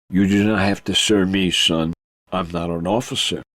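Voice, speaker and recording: Moderately paced speech from a man in a put-on character voice, pitched very deep and low. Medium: read story. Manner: calm, commanding, clipped.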